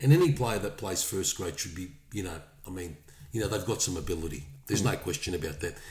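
A somewhat breathy voice with an Australian accent races along at a very fast pace with lively intonation. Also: man, very deep, low pitch for a man. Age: 50s. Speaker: rugby league podcast co-host. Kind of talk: casual chat.

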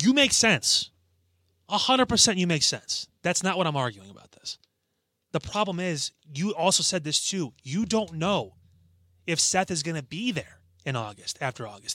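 A loud man with a high pitch, a bright, sharp tone, very wide pitch swings and long, frequent pauses, on a very clean recording with a silent background. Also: moderate pace, dry, close sound with no echo. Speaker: wrestling podcast co-host. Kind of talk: casual chat.

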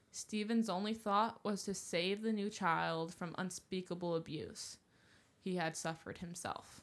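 A woman talks at a moderate pace in an ordinary speaking voice of medium pitch, with fairly even intonation. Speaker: podcast co-host. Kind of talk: casual banter, chatty. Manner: playful, joking, overlapping.

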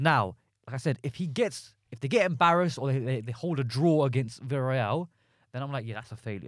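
A man with a normal speaking voice, medium pitch, ordinary pitch variation and a fairly quick pace, on a very clean recording with a silent background. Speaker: podcast co-host. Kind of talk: casual banter, football podcast.

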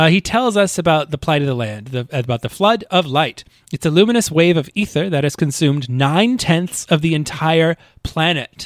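This is a plain, everyday voice from a man with a fairly high pitch and lively intonation. He talks at a moderate pace, and the sound is dry and close with no echo. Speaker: podcast co-host and editor. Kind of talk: casual chat recapping a video game. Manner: playful, laughs often.

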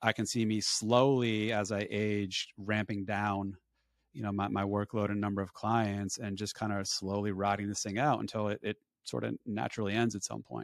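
A man speaks fairly quickly in a plain, everyday voice, fairly low in pitch with fairly even intonation. The recording is very clean and dry, with a silent background and close sound with no echo. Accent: American. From New Jersey, Woodbridge. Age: 40s. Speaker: financial advisor. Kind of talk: interview.

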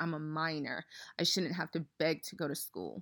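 The voice has a bright, sharp tone with vocal fry, recorded dry and close with no echo on a very clean recording with a silent background. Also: woman. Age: 30s. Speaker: podcast host. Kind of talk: personal monologue.

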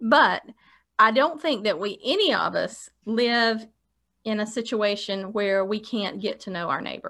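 At a fairly slow pace, a woman with a plain, everyday voice and fairly high pitch comes through in a very clean recording with a silent background. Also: ordinary pitch variation. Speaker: podcast co-host. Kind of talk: casual chat. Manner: playful.

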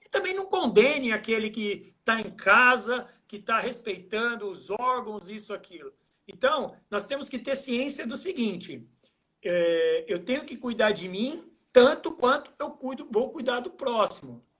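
A man speaks at a fairly slow pace in an extremely high pitch, his raised, projected voice bright and sharp with lively intonation. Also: big swings in loudness. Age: 40s. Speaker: trail running athlete and coach. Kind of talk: casual interview on a live stream. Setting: Instagram live video call.

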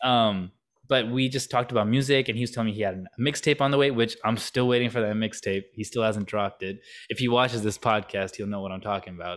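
Talking at a very fast pace, a man keeps his intonation fairly even. The recording is very clean, with a silent background. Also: medium pitch for a man. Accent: American. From US Midwest. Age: 20s. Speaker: musician and rapper. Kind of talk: casual interview.

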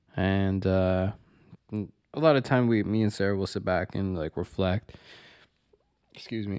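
In a very clean recording with a silent background, a man speaks with a Toronto accent at a moderate pace. His pitch is very deep and low, with ordinary variation. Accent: Canadian (Toronto). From Toronto, Canada (Scarborough). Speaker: podcast co-host, carpenter. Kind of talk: casual chat.

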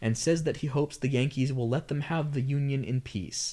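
A man with an unremarkable speaking voice talks in a medium pitch. The recording is very clean, with a silent background. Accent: American. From US South. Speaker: podcast co-host. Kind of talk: casual chat with plot recap narration.

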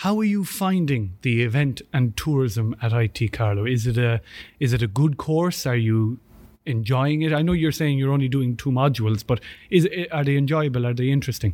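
On a very clean recording with a silent background, a man with an Irish accent speaks at a moderate pace with lively intonation and very even loudness. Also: medium pitch for a man. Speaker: student union podcast host. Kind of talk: sponsor thanks; casual chat interview. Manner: halting, many fillers and repeats.

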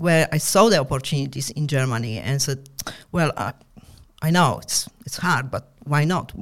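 A woman's very deep, low voice rises and falls with lively intonation. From Poland. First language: Polish. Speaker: entrepreneur. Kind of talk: casual interview chat. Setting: studio.

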